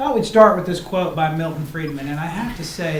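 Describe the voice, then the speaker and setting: Audible room echo and noticeable background noise surround the voice. The speaker is a man with a fairly high pitch. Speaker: construction company presenter. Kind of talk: presentation to county commissioners. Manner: fast.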